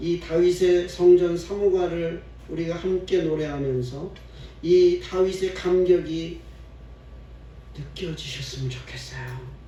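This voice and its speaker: With audible room echo, a man speaks very slowly, with long, frequent pauses and big swings in loudness. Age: 60s. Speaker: pastor. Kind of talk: sermon.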